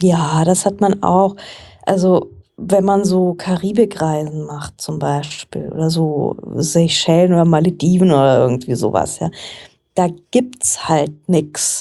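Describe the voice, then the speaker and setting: A woman speaks very slowly in a fairly low pitch. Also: ordinary pitch variation. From Frankfurt, Germany. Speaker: journalist and book podcaster. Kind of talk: casual interview chat.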